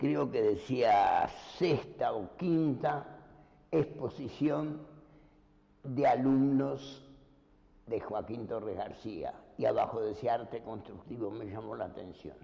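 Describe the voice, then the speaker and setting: The voice is dark and mellow with vocal fry, moving at a very slow pace with long, frequent pauses while the intonation stays lively. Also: man, medium pitch for a man. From Uruguay, Montevideo. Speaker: painter. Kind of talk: life story interview.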